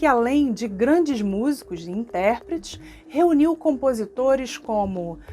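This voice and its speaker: A woman speaks very slowly in a fairly high voice, with a Rio de Janeiro accent and lively intonation. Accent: Carioca Brazilian Portuguese. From Rio de Janeiro (Tijuca, North Zone). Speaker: cultural project manager. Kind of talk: reading aloud a project document.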